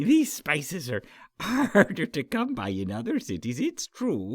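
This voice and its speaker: A man uses a put-on character voice at a moderate pace on a very clean recording with a silent background. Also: fairly high pitch for a man. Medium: read story. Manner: chuckling, genial.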